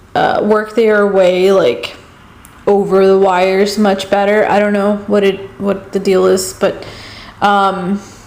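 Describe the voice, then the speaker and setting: A woman's medium-pitched voice at a very slow pace, monotone and flat, with very even loudness, audible room echo and noticeable background noise. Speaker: vlogger. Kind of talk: casual vlog talk. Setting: at home. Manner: soft-spoken; hesitant, filler-heavy.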